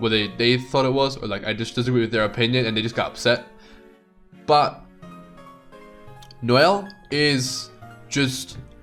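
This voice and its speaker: A man at a medium pitch with music in the background. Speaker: gaming content creator. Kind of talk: casual gaming commentary. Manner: casual, rambling.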